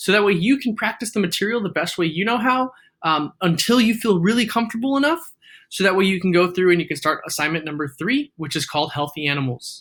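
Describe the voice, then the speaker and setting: Speaking at a very fast pace, a man uses a high, bright, sharp voice with lively intonation. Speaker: math teacher. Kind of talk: tutorial.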